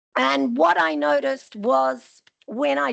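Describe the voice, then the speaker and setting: A woman with an Australian accent and very wide pitch swings. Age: 60s. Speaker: audience member at a health forum. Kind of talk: audience question and personal story. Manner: casual, chatty.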